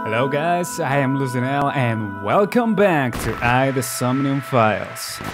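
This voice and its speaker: A man at a moderate pace, lively in intonation, with music in the background. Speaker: gaming video creator. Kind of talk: gameplay commentary. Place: home room. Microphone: studio mic.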